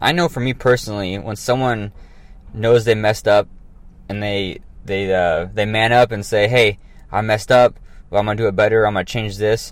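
This man has an unremarkable speaking voice with a fairly low pitch. His intonation stays fairly even. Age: 30s. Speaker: fitness podcast host. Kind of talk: casual solo podcast monologue. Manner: casual, many fillers and restarts.

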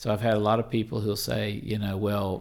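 With a Southern US accent, a man talks at a moderate pace and a fairly low pitch, with vocal fry. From Mississippi, US South. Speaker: pastor. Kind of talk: interview.

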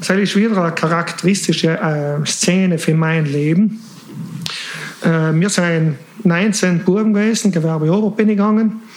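Through noticeable background noise, a man with a high voice speaks at a moderate pace with fairly even intonation. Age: 40s. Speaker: engineer. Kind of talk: personal life story in casual interview. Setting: late-night recording.

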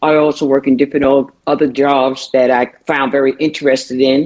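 A woman with a New York accent speaks at a moderate pace in a very deep, low voice. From Brooklyn, New York. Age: 70s. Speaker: retired city employee. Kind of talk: casual chat. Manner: jovial, humorous.

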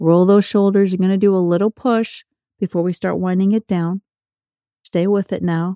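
A woman's dark, mellow voice at medium pitch comes across in a monotone, flat intonation, with a dry, close sound and no echo. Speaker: podcast host and walking coach. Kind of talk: guided workout coaching. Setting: walking while recording. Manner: fast.

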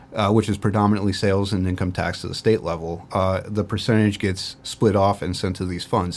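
A man with a Midwestern American accent talks at a moderate pace in a fairly low pitch with fairly even intonation. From northern Ohio, Port Clinton. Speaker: county tax and finance director. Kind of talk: interview.

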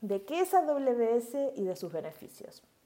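A woman speaks with a Uruguayan accent. Her pitch swings very widely. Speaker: cloud developer advocate, podcast co-host. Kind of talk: casual tech chat.

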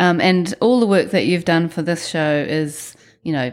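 A woman with a New Zealand accent speaks at a fairly slow pace. Her pitch varies in an ordinary way, and the recording is very clean with a silent background. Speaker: podcast host. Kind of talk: interview.

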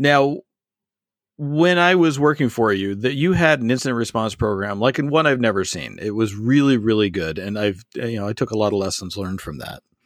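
A man with an unremarkable speaking voice at a fairly quick pace, on a very clean recording with a silent background. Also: medium pitch for a man, lively intonation. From Canada. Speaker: podcast host. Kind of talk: interview chat.

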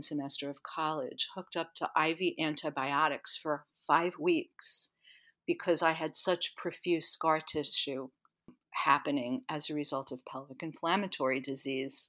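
A woman's very deep, low voice with ordinary pitch variation at a moderate pace, on a very clean recording with a silent background. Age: 60s. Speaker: health coach and somatic educator. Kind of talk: interview.

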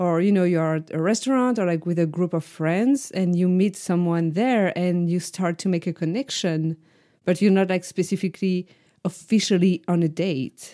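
In a very clean recording with a silent background, a woman with a French accent talks at a moderate pace in a medium-pitched voice with a dark, mellow tone and ordinary pitch variation. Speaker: podcast co-host. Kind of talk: casual chat.

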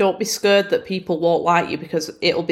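In a northern English accent, a woman talks at a fairly quick pace with monotone, flat intonation. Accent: Bolton northern English. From Bolton, northern England. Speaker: podcast host. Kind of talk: casual solo podcast monologue.

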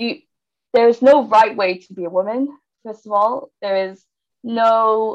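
Speaking in a British accent at a fairly slow pace, a woman with a fairly high voice keeps a fairly even intonation, with long, frequent pauses and big swings in loudness. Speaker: engineering graduate student. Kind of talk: casual interview.

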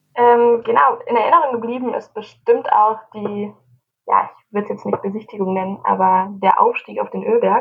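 At a moderate pace, a woman is talking. Her volume swings in big ways. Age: 20s. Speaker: youth association leader and student. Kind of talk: casual chat.

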